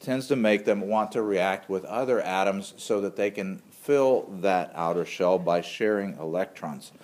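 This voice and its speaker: Lively intonation colors a plain, everyday voice moving at a moderate pace. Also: man. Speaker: microbiology instructor. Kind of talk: lecture.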